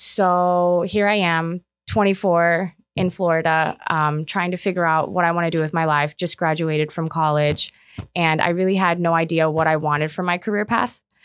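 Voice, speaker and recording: A woman's normal speaking voice in an American accent, fairly low in pitch, at a moderate pace with fairly even intonation and very even loudness, on a very clean recording with a silent background. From Omaha, Nebraska, US. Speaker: commercial real estate advisor. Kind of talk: casual interview.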